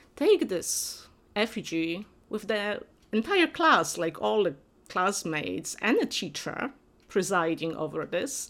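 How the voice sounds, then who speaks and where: In a Polish accent, a woman talks fairly slowly at medium pitch with very wide pitch swings, on a very clean recording with a silent background. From Poland, Upper Silesia. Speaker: professor. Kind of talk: interview.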